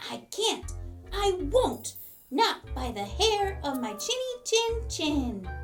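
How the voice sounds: A put-on character voice, high-pitched and very slow, comes through with faint music in the background.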